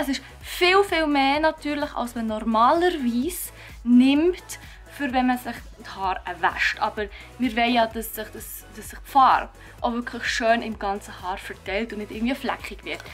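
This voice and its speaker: Over music in the background, a woman with a high pitch and a Swiss accent speaks at a moderate pace, her intonation lively and her loudness swinging widely. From Switzerland. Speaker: beauty and lifestyle YouTuber. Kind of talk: DIY hair tutorial talk to camera.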